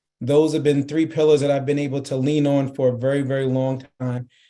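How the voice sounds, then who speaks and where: Speaking at a fairly quick pace in a New York accent, a man has a fairly high pitch and a dark, mellow tone. His intonation is monotone and flat. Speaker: marketing executive. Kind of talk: interview.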